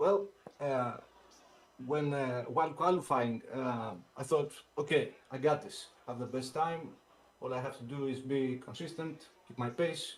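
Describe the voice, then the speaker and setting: A man with a non-native accent and fairly high pitch, somewhat breathy, at a moderate pace with ordinary pitch variation, big swings in loudness, and long, frequent pauses. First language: not English. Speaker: sim racing driver, race winner. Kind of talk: post-race interview. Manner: halting, many hesitations.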